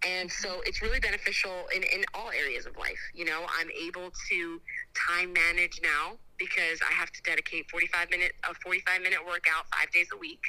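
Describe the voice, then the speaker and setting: Noticeable background noise fills the clip. Over it, a woman speaks at a moderate pace. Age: 30s. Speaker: fitness class instructor and church friend. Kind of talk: casual chat. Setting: outdoors.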